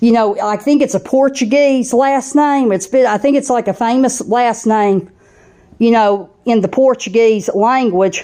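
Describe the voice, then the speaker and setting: In a strong Southern US accent, the speaker reads at a fairly slow pace with a dark, mellow tone, ordinary pitch variation and very even loudness. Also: woman, fairly high pitch for a woman. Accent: thick Southern US. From US South (southeastern US). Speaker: channel host, spiritual vlogger. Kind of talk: personal monologue vlog. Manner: casual with frequent fillers.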